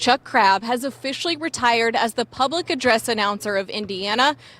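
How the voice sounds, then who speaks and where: A woman's high voice at a moderate pace, with ordinary pitch variation and music in the background. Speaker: TV news reporter. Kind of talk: news report narration.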